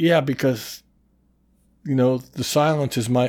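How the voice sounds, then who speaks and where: A man talks with a Midwestern American accent. His medium-pitched voice is dark and mellow, with fairly even intonation. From US Midwest, Iowa (Mason City). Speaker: podcast guest, musician. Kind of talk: casual chat.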